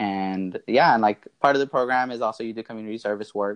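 A man speaks at a fairly quick pace with an American accent and an ordinary speaking voice. The background is quiet, and the sound is dry and close with no echo. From US South (Marietta, Georgia, Atlanta area). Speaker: MBA student. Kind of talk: interview, personal story.

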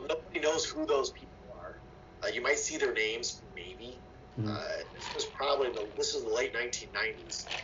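Noticeable background noise sits behind this recording. A man with an American accent speaks at a moderate pace. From Ohio, US Midwest. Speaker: political science professor. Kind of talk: interview.

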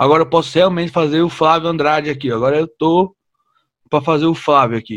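A man's fairly high-pitched, unremarkable speaking voice at a fairly quick pace, with ordinary pitch variation. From São Paulo, Brazil. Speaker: podcast host and comedian. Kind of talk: casual interview.

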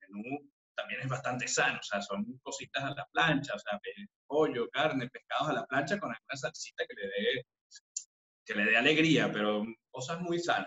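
Man at a moderate pace with big swings in loudness. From Venezuela, Caracas. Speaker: chef and restaurant owner. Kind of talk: interview.

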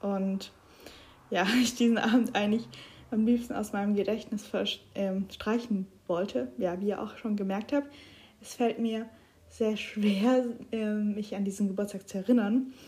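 A dark, mellow, somewhat breathy voice at a fairly slow pace, broken by long, frequent pauses. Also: woman, fairly high pitch for a woman, ordinary pitch variation. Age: 20s. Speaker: podcaster. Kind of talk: personal monologue.

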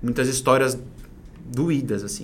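A medium-pitched male voice at a fairly quick pace, with audible room echo. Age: 30s. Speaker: entrepreneur and personal development coach. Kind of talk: casual interview chat.

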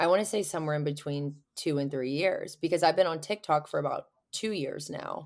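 A woman with an American accent talks at a moderate pace in a plain, everyday voice, fairly low in pitch with lively intonation. The recording is very clean, with a silent background. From Pittsburgh, Pennsylvania. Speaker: video creator and bartender in recovery. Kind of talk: personal testimony in interview.

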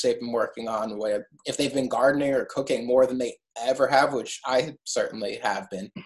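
Speaking with an American accent, a man has an ordinary speaking voice at medium pitch, a moderate pace, and fairly even intonation. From New York City (Brooklyn). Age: 30s. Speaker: artist. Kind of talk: interview.

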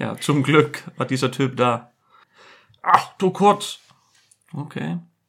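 A man talks at a very slow pace in an Icelandic accent. His voice has vocal fry and lively intonation. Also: fairly high pitch for a man. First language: Icelandic (speaking German). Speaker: furniture fitter. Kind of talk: casual chat.

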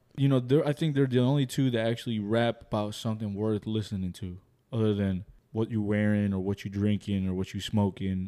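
Here a man speaks with a dark, mellow tone at a fairly low pitch. His pace is fairly quick. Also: ordinary pitch variation. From Colombia. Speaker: podcast co-host. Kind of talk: casual banter.

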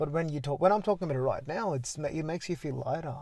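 Talking at a very fast pace, a man has a somewhat breathy voice. His pitch varies an ordinary amount. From India. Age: 20s. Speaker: podcast guest, student. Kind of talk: casual interview about mental health. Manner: hesitant, many filler words.

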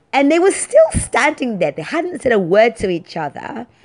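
With a London accent, the speaker talks at a fairly slow pace in an animated tone, showing vocal fry and very wide pitch swings. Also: woman. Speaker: podcast host. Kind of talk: casual monologue. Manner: talkative, animated.

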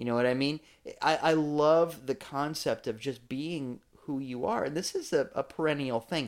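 An ordinary speaking voice from a man, fairly high in pitch, at a moderate pace on a very clean recording with a silent background. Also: ordinary pitch variation. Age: 40s. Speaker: podcast host and church leader. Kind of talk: casual chat.

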